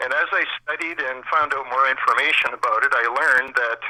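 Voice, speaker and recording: Background noise is noticeable throughout. The speech moves at a moderate speed. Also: man. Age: 60s. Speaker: caller. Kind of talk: call-in testimony.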